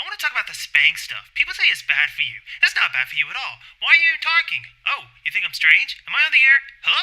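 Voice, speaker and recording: Someone races along at a very fast pace in a put-on character voice. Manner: agitated, shouting.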